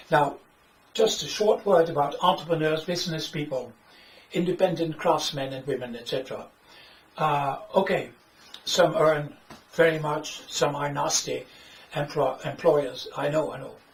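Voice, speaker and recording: A man with a fairly high pitch and a Dutch accent talks at a moderate pace with long, frequent pauses and big swings in loudness, amid noticeable background noise and audible room echo. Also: ordinary pitch variation. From Netherlands. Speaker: author and economics critic. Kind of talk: lecture. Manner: halting.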